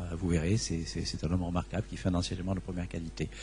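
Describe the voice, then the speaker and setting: In a southern French accent, a man speaks with vocal fry. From southern France, Vaucluse. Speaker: astrophysicist receiving an award. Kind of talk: acceptance speech. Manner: halting, many repetitions and fillers.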